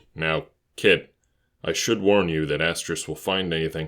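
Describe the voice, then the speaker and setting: Putting on a character voice, a man speaks in a very deep, low, raspy register with fairly even intonation at a moderate pace, captured on a very clean recording with a silent background. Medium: read story. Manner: soft, calm, professional.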